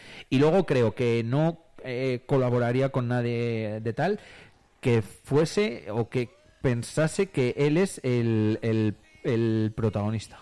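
Talking at a very slow pace, a man with a dark, mellow, medium-pitched voice uses lively intonation. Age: 30s. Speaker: radio host. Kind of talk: casual chat.

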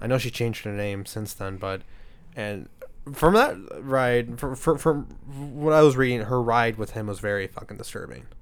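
A plain, everyday voice from a man at medium pitch, with ordinary pitch variation, big swings in loudness and a moderate pace. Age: 20s. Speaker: podcast host. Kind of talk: casual chat.

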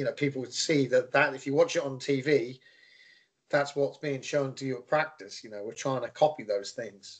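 Fairly high-pitched, a man with an English accent talks at a moderate pace with fairly even intonation and big swings in loudness. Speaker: youth soccer coach. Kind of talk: casual interview.

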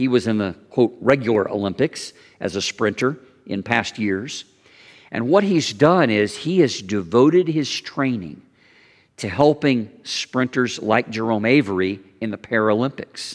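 In a very clean recording with a silent background, a man with a medium-pitched voice speaks at a fairly slow pace with lively intonation. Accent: Southern US. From US South, Kentucky/Tennessee border. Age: 50s. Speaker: pastor. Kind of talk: sermon. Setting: church.

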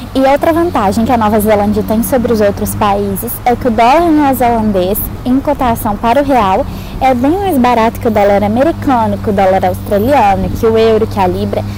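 A woman talks at a moderate pace with very even loudness, amid audible room echo and noticeable background noise. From Brazil, Minas Gerais. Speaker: exchange student. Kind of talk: testimonial vlog.

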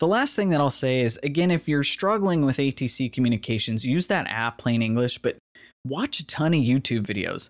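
On a very clean recording with a silent background and a dry, close sound with no echo, a man speaks fairly quickly at a fairly high pitch with very even loudness in a plain, everyday voice. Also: lively intonation. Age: 30s. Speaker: podcast host, student pilot. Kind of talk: solo monologue podcast.

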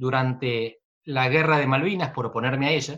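Pitched in the medium range, a man with an ordinary speaking voice talks with ordinary pitch variation. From Argentina, Buenos Aires province. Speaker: political scientist. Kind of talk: interview.

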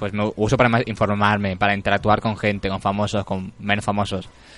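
This man has an unremarkable speaking voice, pitched fairly low and delivered at a fairly quick pace. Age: 20s. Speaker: radio host. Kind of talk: casual chat. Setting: studio.

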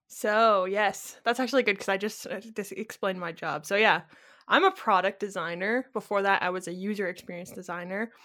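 Over a very clean recording, silent background, a woman with a Canadian accent talks at a fairly quick pace, her medium pitch and fairly even intonation set in a bright, sharp tone. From Ontario, Canada. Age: 20s. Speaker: podcast co-host, product designer. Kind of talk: casual chat.

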